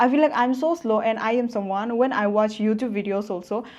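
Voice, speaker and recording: Delivered at a fairly quick pace, it is an ordinary speaking voice with fairly even intonation. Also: woman. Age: 20s. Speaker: online business coach. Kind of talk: motivational vlog talk. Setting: self-filmed with phone front camera.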